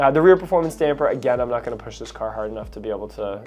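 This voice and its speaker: A man with a Canadian accent, very fast pace and lively intonation, music in the background. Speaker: car dealership salesperson. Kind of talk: product walkthrough video. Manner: casual, conversational.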